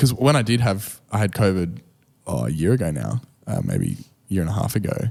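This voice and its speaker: With an Australian accent, the voice moves at a fairly quick pace with lively intonation. Its tone is dark and mellow, with vocal fry. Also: man, fairly low pitch for a man. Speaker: pastor and podcast co-host. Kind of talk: casual podcast chat.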